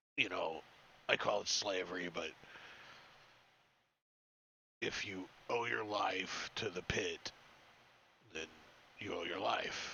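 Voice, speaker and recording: A man's put-on character voice, very deep and low, raspy, gruff and growling, menacing in tone, at a fairly slow pace with long, frequent pauses. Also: ordinary pitch variation. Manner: menacing, warning.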